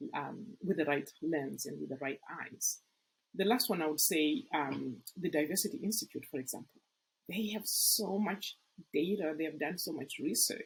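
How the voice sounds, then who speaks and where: Speaking with an African accent, a woman uses fairly low pitch and lively intonation. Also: moderate pace. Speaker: nonprofit executive recruitment consultant, company CEO. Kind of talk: podcast interview.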